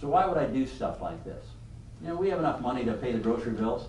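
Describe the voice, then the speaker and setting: Amid noticeable background noise and audible room echo, the speaker goes at a very fast pace with lively intonation. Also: man. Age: 70s. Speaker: business leader and speaker. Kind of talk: leadership talk to a class. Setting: room with live audience.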